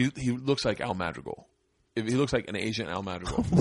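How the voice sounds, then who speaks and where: Over a quiet background, a man with an American accent talks in a plain, everyday voice at a medium pitch, with lively intonation and a fairly quick pace. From Florida. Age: 40s. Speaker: comedian and podcast host. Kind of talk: casual chat. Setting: studio.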